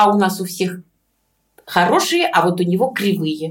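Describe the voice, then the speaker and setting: Speaking at a fairly slow pace, a woman sounds somewhat breathy, with lively intonation. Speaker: dental surgeon. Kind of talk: interview.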